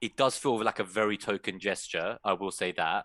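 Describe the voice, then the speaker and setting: A man's fairly low voice with a bright, sharp tone, ordinary pitch variation and a London accent, over a quiet background. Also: dry, close sound with no echo. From England, London. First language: Persian. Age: 30s. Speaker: fantasy football content creator. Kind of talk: casual chat.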